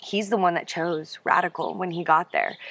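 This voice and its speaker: A fairly low-pitched woman with an American accent and monotone, flat intonation. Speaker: wife and mother sharing faith story. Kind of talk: testimony. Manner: loud.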